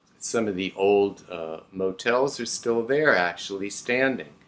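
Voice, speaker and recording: A man with an American accent speaks at a fairly slow pace, his fairly low pitch showing ordinary variation and a bright, sharp tone. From South Florida (Hollywood). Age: 60s. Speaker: local historical society member. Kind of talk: personal reminiscence. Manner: halting with fillers.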